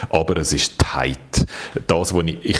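Amid noticeable background noise, a man with a Swiss accent speaks in a very deep, low pitch with fairly even intonation. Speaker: tech journalist, podcast co-host. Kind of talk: casual chat.

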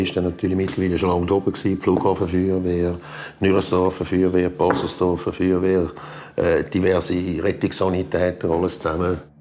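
Over noticeable background noise, a man with a very deep, low pitch speaks at a moderate pace in a monotone, flat intonation. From Switzerland, Zurich area. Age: 60s. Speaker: volunteer firefighter. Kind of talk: interview recollection. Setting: at home, dining table.

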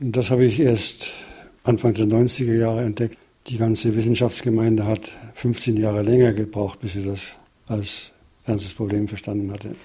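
Somewhat breathy and dark, mellow in tone, a man's medium-pitched voice holds a monotone, flat intonation at a moderate pace. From Upper Bavaria, Germany. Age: 70s. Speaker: retired plant biotechnologist. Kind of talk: interview. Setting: home living room.

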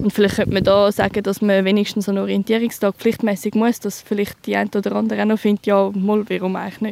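At a very fast pace with hardly any pauses, a woman speaks at a medium pitch in a monotone, flat intonation. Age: 20s. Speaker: soldier. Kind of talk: field interview.

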